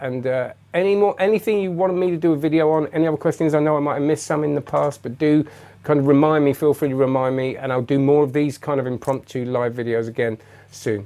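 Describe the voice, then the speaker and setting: A man with an English accent talks very fast at a fairly high pitch and with ordinary pitch variation. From England. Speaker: magician and magic reviewer. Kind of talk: live stream chat. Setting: live webcam stream. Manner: halting, many fillers and restarts.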